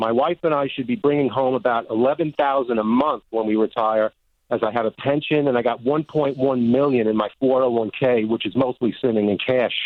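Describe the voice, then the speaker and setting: This man talks at a moderate pace. His pitch shows ordinary variation. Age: 60s. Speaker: caller. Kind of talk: call-in question. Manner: halting.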